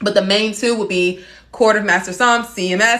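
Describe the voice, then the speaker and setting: This woman's tone is bright and sharp. She sounds animated. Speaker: sommelier and wine educator. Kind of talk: live-stream wine tasting chat. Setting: TikTok live stream. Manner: fast.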